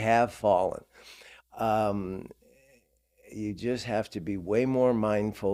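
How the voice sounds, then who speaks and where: In a very clean recording with a silent background, a man speaks at a fairly low pitch with ordinary pitch variation. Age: old. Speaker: podcast guest. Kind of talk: interview answer.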